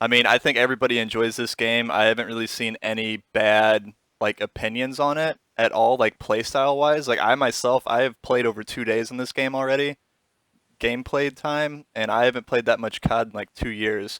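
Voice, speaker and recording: Loud and fairly quick, a man talks in a medium pitch with a bright, sharp tone and fairly even intonation, the sound dry and close with no echo. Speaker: podcast host. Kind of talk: casual chat.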